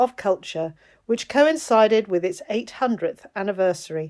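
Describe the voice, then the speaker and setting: On a very clean recording with a silent background, a woman with a normal speaking voice speaks at a fairly high pitch and moderate pace, her intonation lively. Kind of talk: documentary narration.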